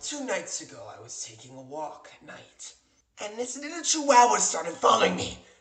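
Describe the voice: A man's put-on character voice, high in pitch, with very wide pitch swings, a fairly bright tone and a moderate pace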